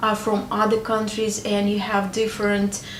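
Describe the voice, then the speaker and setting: There is audible room echo as a woman speaks. Noticeable background noise is also present. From Ukraine. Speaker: married woman sharing advice. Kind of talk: personal advice talk to camera. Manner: hesitant, with filler sounds.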